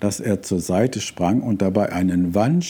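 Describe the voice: The pitch variation is ordinary in this plain reading aloud.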